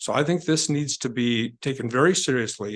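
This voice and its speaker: A man's normal speaking voice at medium pitch, with ordinary pitch variation, against a quiet background. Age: 60s. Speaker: public commenter at city council. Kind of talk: public comment speech. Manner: formal.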